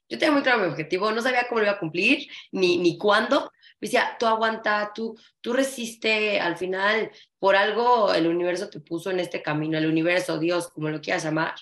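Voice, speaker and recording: A woman talks at a fairly quick pace in an unremarkable speaking voice. Her medium-pitched delivery has lively intonation. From Mexico. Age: 30s. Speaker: flamenco dancer and dance teacher. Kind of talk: casual interview chat.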